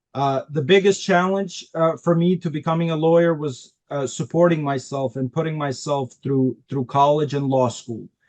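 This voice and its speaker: Speaking with a non-native accent, a man with a fairly high pitch keeps a moderate pace with hardly any pauses and ordinary pitch variation. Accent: foreign. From Albania, raised in Queens, New York from age 11. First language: Albanian. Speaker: immigrant attorney. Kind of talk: interview. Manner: halting, many fillers.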